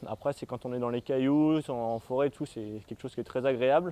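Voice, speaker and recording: Dark and mellow in tone, a man talks at a very fast pace in a dry, close sound with no echo. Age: 20s. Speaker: mountain bike trials champion. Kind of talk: interview answers. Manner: hesitant, with fillers.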